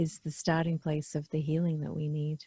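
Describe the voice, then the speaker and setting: A woman's very deep, low voice comes across somewhat breathy, dark and mellow, with monotone, flat intonation at a moderate pace in a dry, close sound with no echo. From England. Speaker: podcast host. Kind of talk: casual interview chat. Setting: video call.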